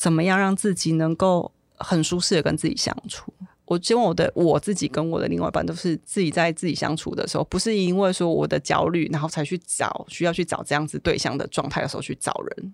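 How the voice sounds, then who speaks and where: This woman has a normal speaking voice with a fairly low pitch, a fairly quick pace and ordinary pitch variation, recorded dry and close with no echo. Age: 40s. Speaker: office worker. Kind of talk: interview.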